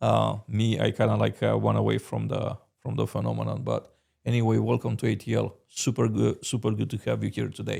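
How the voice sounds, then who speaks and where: A man speaks with a Romanian accent. He talks at a fairly quick pace. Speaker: podcast host. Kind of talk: interview. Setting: in person studio. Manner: hesitant, many fillers.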